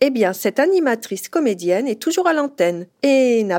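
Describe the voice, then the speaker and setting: A woman's high voice, its pitch swinging very widely. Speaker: podcast host and journalist. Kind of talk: scripted narration.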